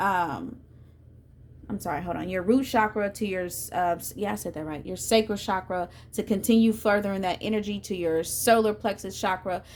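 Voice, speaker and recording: The delivery moves at a fairly quick pace. Intonation stays fairly even. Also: woman. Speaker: tarot reader. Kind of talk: tarot reading. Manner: fast.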